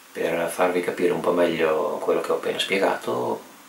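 The fairly quick speech carries audible room echo over light background noise. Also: man. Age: 30s. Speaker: electronics hobbyist maker; electronics educator. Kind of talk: tutorial. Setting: home DIY room. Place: workshop.

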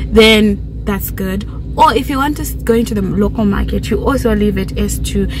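Noticeable background noise runs through the clip. The sound is dry, with no echo. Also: woman, moderate pace. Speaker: YouTuber, chartered accountant. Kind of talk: casual vlog chat. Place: car. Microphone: phone near.

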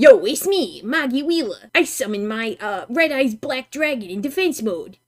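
A put-on character voice speaks at a moderate pace in a high pitch. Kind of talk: comic overacting. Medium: virtual streamer. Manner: brash, cocky.

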